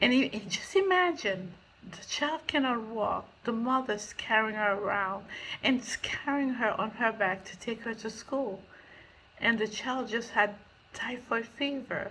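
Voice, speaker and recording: Fairly high in pitch with a bright, sharp tone, a woman speaks at a fairly slow pace with ordinary pitch variation. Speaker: charity founder. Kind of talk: recorded thank-you message. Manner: halting.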